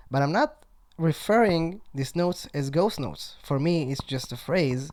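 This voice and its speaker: A high-pitched man's voice in a strong Israeli accent, at a moderate pace with ordinary pitch variation. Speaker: drummer. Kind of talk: casual interview chat. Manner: halting, many fillers.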